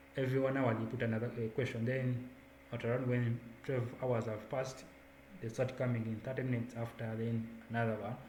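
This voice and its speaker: A man's medium-pitched, monotone, flat voice at a fairly quick pace, with audible room echo and noticeable background noise. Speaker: student volunteer coordinator. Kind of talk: online onboarding presentation.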